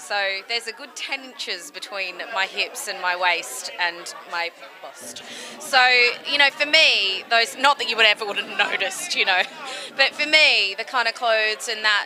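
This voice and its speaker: With an Australian accent, a woman speaks at a moderate pace with lively intonation. Music plays in the background. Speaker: burlesque singer. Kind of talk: interview. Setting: press party. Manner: casual, chatty.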